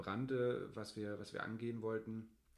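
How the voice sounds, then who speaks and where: Audible room echo surrounds a man's fairly low voice, which keeps a monotone, flat intonation. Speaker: family blogger and podcast co-host. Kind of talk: casual chat.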